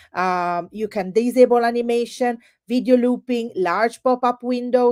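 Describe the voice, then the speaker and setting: With an Italian accent, a woman speaks at a moderate pace in a fairly high pitch with ordinary pitch variation and a dry, close sound with no echo. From Italy. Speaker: edtech presenter. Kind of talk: webinar product demo. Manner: animated.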